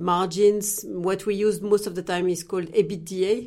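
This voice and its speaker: A woman's medium-pitched voice comes through on a very clean recording with a silent background. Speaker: investment manager, former vet. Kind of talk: interview.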